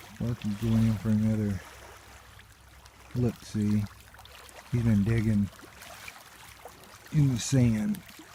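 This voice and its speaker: Very slow, with long, frequent pauses, a man speaks in a fairly even intonation over noticeable background noise. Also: fairly low pitch for a man. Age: 60s. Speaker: nature vlogger. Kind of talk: casual narration while hiking. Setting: outdoors by a lake.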